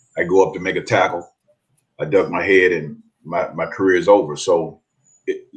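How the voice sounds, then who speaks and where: A man speaks at a fairly quick pace. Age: 60s. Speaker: former NFL player and athletic director. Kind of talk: interview. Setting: radio studio. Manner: halting, many repeated words.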